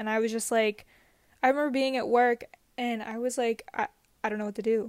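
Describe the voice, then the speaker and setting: Fairly high-pitched woman with fairly even intonation, in a dry, close sound with no echo. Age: 20s. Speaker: podcast editor, guest. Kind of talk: casual chat.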